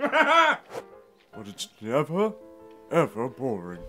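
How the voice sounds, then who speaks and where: A man uses a put-on character voice, fairly high in pitch and very slow in pace. Faint music plays in the background. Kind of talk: trailer voice-over narration.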